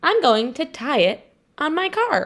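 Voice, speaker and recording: In a put-on character voice, a woman talks at a fairly slow pace, her high pitch making very wide swings. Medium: read story.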